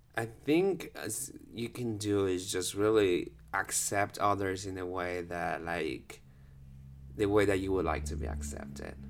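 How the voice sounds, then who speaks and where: A man with a Spanish accent speaks very slowly in a very deep, low voice, his pitch moving in an ordinary way. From Guatemala, Guatemala City. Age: 30s. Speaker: dancer. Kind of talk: casual chat.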